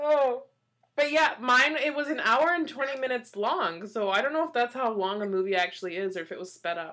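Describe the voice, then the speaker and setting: A woman with a high pitch speaks at a fairly quick pace, her pitch swinging very widely. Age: 30s. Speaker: podcast co-host. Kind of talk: casual chat. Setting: remote recording over video call. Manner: giggly, laughs often.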